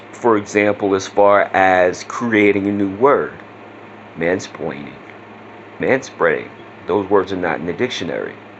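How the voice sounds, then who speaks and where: Over noticeable background noise, a man with a fairly low pitch and ordinary pitch variation speaks at a fairly slow pace with long, frequent pauses. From Southeast Louisiana. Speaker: vlogger. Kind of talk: casual vlog talk. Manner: casual, with many fillers.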